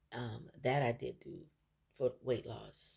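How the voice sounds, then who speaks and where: The speech is quiet. It moves at a fairly slow pace. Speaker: vlogger sharing personal health journey. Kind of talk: personal video diary. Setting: at home early morning. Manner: speaking quietly; hesitant, many fillers.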